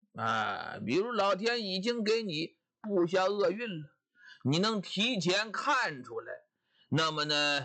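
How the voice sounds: A quiet background under a natural reading voice with lively intonation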